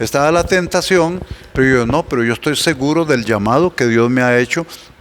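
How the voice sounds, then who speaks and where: A man's medium-pitched voice at a fairly quick pace, with very even loudness, ordinary pitch variation and noticeable background noise. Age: 60s. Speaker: pastor. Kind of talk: casual chat.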